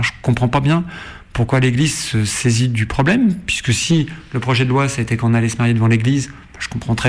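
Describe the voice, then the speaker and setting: A man talks at a fairly quick pace with lively intonation and a medium pitch. Background noise is noticeable. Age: 40s. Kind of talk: interview.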